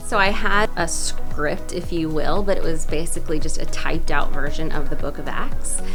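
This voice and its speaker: Music runs in the background. A woman talks at a moderate pace with hardly any pauses. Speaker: voice actor. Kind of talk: interview answer.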